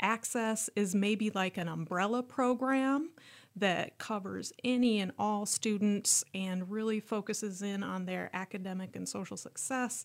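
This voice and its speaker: A woman's medium-pitched voice at a fairly slow pace, with ordinary pitch variation, in a very clean recording over a silent background. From US Midwest, rural southwest Minnesota. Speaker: college student-support program coordinator. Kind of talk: interview conversation.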